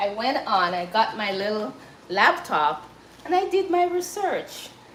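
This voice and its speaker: A woman with a Jamaican accent talks at a fairly slow pace, her fairly high voice making very wide pitch swings. Audible room echo and noticeable background noise surround her. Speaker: cooking livestreamer. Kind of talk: casual livestream chat. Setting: live stream. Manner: halting.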